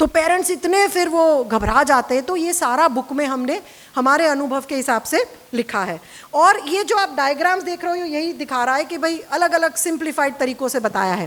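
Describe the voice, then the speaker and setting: A woman's high voice with lively intonation and a Gujarati accent, over noticeable background noise. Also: moderate pace. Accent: Gujarati-accented Hindi. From Gujarat, India. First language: Gujarati (speaking Hindi). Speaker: therapist and parenting author. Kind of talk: casual talk to camera about her book. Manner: Hindi-English code-switching.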